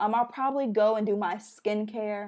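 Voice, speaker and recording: In an American accent, a woman speaks at a fairly slow pace with an animated tone, medium pitch and ordinary pitch variation. The recording is very clean, with a silent background. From Chicago. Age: 20s. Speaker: YouTuber. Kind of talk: casual chat.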